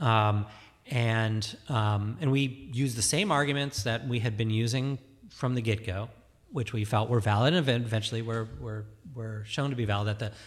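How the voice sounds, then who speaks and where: With a somewhat breathy quality, the speaker keeps a moderate tempo and shows ordinary variation in pitch. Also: man. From suburban Detroit, Michigan. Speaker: cheese shop and cafe owner. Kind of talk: casual chat. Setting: studio.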